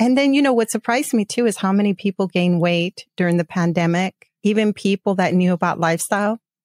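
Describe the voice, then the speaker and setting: A plain, everyday voice at a fairly quick pace, very even in loudness with ordinary pitch variation, in a very clean recording with a silent background and a dry, close sound with no echo. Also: woman, medium pitch for a woman. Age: 50s. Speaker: podcast host. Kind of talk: casual chat.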